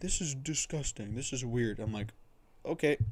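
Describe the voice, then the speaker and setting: Mumbling, a man talks at a fairly quick pace. His pitch variation is ordinary. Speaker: streamer. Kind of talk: casual chat. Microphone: cheap mic on high sensitivity.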